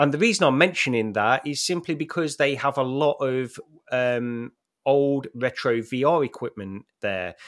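With an unremarkable speaking voice, a man talks at a moderate pace and medium pitch with ordinary pitch variation. The recording is very clean, with a silent background. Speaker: VR enthusiast. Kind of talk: casual chat.

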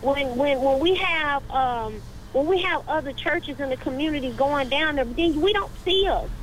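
Amid noticeable background noise, a woman with an American accent talks at a moderate pace in a high pitch with ordinary pitch variation. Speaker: caller. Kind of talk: call-in comment. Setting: phone call.

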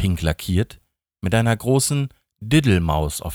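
Against a quiet background, an unforced reading voice carries lively intonation.

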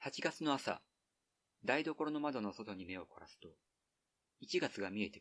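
A man speaks at medium pitch with very wide pitch swings. His loudness swings widely, and he leaves long, frequent pauses. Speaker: podcast host reading an essay aloud. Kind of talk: literary essay reading, slow and evocative, read aloud from a printed text. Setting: outdoors, recorded at a highland ridge.

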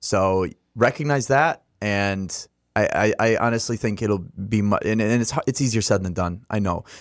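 This is a plain, everyday voice, moving at a moderate pace and using ordinary pitch variation. Behind it the background is silent, and the recording is very clean. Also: man, fairly low pitch for a man. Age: 20s. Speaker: blind musician. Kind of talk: casual chat. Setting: studio.

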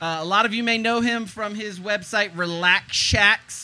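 A man with an American accent projects a raised, bright, sharp voice in a high pitch at a moderate pace. His intonation stays fairly even, and the recording is very clean with a silent background. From eastern North Carolina. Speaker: tiny house blogger. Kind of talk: casual interview.

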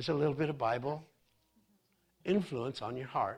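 A man speaks in a somewhat breathy, animated tone with lively intonation. The recording is very clean, with a silent background. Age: 30s. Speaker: pastor. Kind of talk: sermon.

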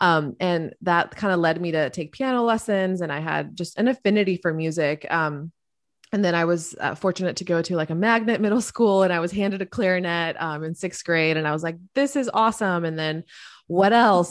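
A woman with an American accent uses an ordinary speaking voice at a fairly low pitch. She talks at a fairly quick pace with ordinary pitch variation. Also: very clean recording, silent background. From US South (Florida), Colombian parents. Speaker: music agency founder and business coach. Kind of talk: interview conversation.

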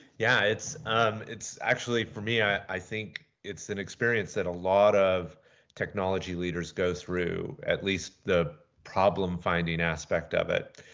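A man with an American accent speaks at a fairly slow pace in a fairly low pitch. It is an unremarkable speaking voice with ordinary pitch variation. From US South, Atlanta. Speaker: tech startup founder and CEO. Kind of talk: interview.

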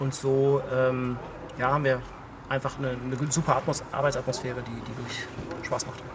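A man's flat, monotone speech at a moderate pace, with long, frequent pauses, audible room echo and noticeable background noise. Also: medium pitch for a man. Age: 30s. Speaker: head of digital at a cookware manufacturer. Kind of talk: interview. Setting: outdoors at a trade conference.

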